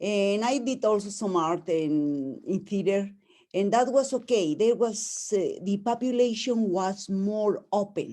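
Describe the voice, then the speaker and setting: In a strong Mexican accent, a woman with a dark, mellow tone and fairly high pitch speaks with lively intonation on a very clean recording with a silent background. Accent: heavy Mexican Spanish. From Mexico. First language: Spanish. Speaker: webinar participant. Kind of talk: casual chat. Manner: halting.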